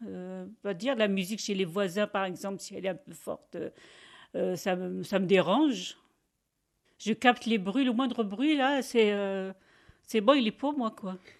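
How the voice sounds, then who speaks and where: On a very clean recording with a silent background, a woman speaks slowly-ish at a medium pitch with ordinary pitch variation. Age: 60s. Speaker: factory worker. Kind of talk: interview testimony. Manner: halting; loud.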